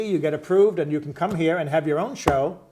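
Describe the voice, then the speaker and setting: A man rattles off words at a very fast pace, his voice fairly high. Pitch varies in an ordinary way, with noticeable background noise throughout. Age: 70s. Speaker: community access TV host. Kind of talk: casual talk show discussion. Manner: halting, with many fillers.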